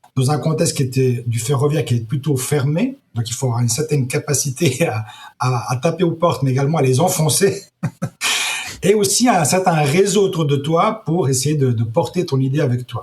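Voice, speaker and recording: A man at a fairly high pitch and moderate pace, with ordinary pitch variation. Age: 60s. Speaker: entrepreneur, startup founder. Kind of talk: interview. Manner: halting, many repetitions.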